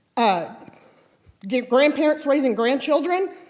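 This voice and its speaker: Loud and lively in intonation, a woman speaks at a high pitch with an American accent. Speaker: resident speaking at public comment. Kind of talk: public comment at council meeting, reading prepared remarks. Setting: city council chamber, at podium. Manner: very loud.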